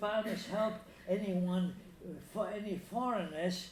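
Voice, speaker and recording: Audible room echo surrounds a man as he speaks. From Danzig (Free City), later Italy. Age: 90s. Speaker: Holocaust survivor. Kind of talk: interview testimony. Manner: halting, many repetitions and fillers.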